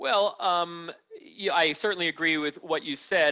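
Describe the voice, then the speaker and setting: A man in a New York accent talks at a moderate pace with ordinary pitch variation, his tone bright and sharp in a dry, close sound with no echo. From New York City. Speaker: hedge fund allocator. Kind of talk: panel discussion. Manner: loud.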